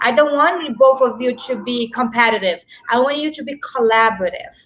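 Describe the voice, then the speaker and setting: A high-pitched woman's voice at a fairly quick pace, with ordinary pitch variation, big swings in loudness and noticeable background noise. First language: not English; Spanish is her third. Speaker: small business owner and networking group founder. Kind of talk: interview on a talk show.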